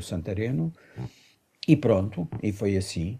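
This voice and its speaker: A man speaks in a very deep, low voice with a dark, mellow tone and a somewhat breathy quality. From Mozambique, then Portugal from age 15. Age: 50s. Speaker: artistic director and performer. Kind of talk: radio interview.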